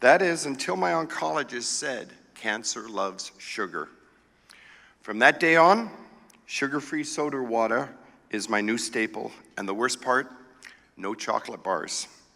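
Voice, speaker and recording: The voice has lively intonation and a bright, sharp tone. It moves at a fairly slow pace with long, frequent pauses. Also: man, medium pitch for a man. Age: 60s. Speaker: cancer patient giving a speech. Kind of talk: prepared speech.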